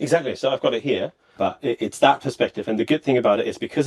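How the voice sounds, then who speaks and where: A man with a German accent at a very fast pace, ordinary pitch variation, and a dry, close sound with no echo. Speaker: company representative. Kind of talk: interview demonstration.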